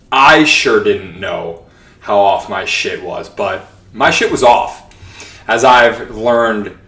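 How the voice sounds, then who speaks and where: A man with an American accent, fairly slow delivery and audible room echo. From New York (Long Island). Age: 30s. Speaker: podcast host. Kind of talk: casual monologue podcast. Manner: animated.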